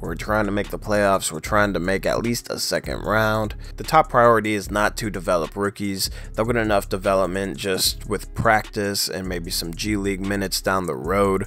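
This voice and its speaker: Moderate pace with hardly any pauses, ordinary pitch variation, and music in the background. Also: man. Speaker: sports commentator. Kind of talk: casual talk to camera.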